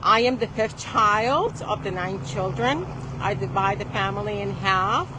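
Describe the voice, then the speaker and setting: A woman speaks at a fairly slow pace. Audible room echo and noticeable background noise come through in the recording. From Puerto Rico, then Connecticut from age ten. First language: Spanish. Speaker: attorney. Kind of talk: speech to an audience.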